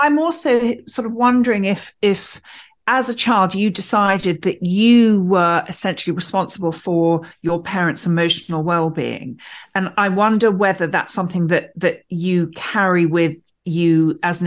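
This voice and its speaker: A woman with an ordinary speaking voice, medium in pitch with ordinary pitch variation, at a moderate pace over a quiet background. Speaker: co-host.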